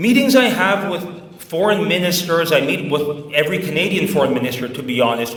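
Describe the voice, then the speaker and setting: A man at a fairly quick pace, his pitch swinging very widely, amid noticeable background noise and audible room echo. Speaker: Macedonian diaspora activist. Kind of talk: speech to an audience.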